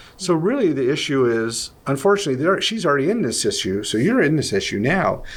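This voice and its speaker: With vocal fry and very wide pitch swings, a man talks at a fairly quick pace amid audible room echo. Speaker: Bible teacher answering questions. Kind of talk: Q&A discussion. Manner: loud.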